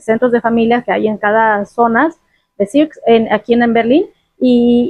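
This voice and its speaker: Delivered at a moderate pace, a plain, everyday voice keeps a fairly even intonation. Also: woman. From Guadalajara, Mexico. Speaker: migrant mother, interview guest. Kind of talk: casual interview conversation.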